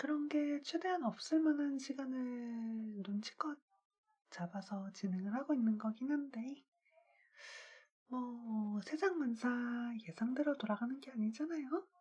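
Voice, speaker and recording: Music plays in the background. The speech comes at a very slow pace. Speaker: live streamer. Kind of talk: casual live stream chat.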